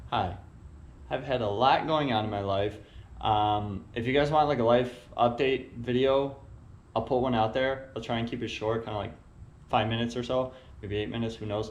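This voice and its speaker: A man's medium-pitched voice with fairly even intonation, long and frequent pauses, and audible room echo. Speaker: vlogger and car builder. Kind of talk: casual vlog update. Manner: fast.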